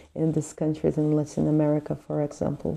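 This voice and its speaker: In a Portuguese accent, a woman speaks with a dark, mellow tone at a very deep, low pitch. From Brazil. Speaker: book reviewer. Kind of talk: book review monologue. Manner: hesitant with fillers.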